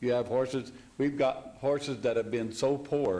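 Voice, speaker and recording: A moderate pace in audible room echo. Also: man. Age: 70s. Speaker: horse ranch worker speaking at public hearing. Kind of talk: public comment at planning commission meeting. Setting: city council chamber, public meeting.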